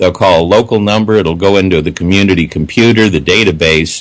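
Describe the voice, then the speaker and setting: Fairly low-pitched man's voice at a fairly quick pace, ordinary pitch variation, a normal speaking voice. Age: 60s. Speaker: civic activist. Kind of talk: radio interview. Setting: radio show.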